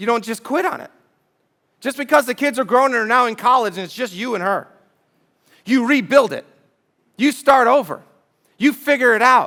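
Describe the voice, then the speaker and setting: A man speaks in a raised, projected voice with an animated, bright, sharp tone and an extremely high pitch, leaving long, frequent pauses at a moderate pace, his pitch varying in an ordinary way while his loudness swings widely. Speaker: pastor. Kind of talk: sermon.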